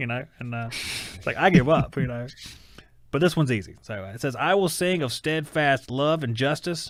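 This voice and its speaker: With a Southern US accent, a man talks at a moderate pace in a fairly high voice. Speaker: talk show co-host. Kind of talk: casual chat.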